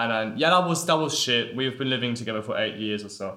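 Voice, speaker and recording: A man is speaking. He talks with a German accent. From Leipzig, Germany. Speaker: university student podcast host. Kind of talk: casual chat.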